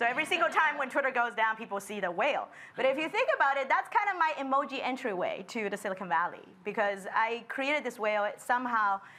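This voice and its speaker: Over noticeable background noise, a woman with a high pitch talks at a very fast pace with hardly any pauses and very wide pitch swings. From China, Shanghai. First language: Chinese. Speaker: designer. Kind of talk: panel discussion.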